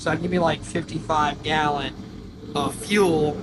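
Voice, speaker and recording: In a room with audible echo and noticeable background noise, a man speaks in a monotone, flat intonation. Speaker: diesel truck youtuber. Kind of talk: DIY tutorial vlog. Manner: casual, filler-heavy.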